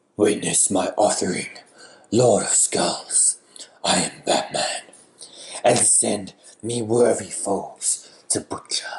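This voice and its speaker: A man speaks fairly slowly in a put-on character voice, raspy and at a medium pitch. He leaves long pauses, and often. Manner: menacing, theatrical.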